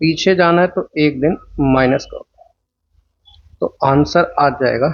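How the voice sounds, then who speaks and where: A soft-spoken man. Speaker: teacher. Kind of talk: lecture. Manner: slow.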